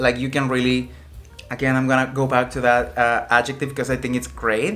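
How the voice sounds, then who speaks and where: A man with a non-native accent speaks at a moderate pace and a medium pitch. Music plays in the background. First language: not English. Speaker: headphone reviewer. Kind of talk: product review. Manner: casual, halting with many fillers.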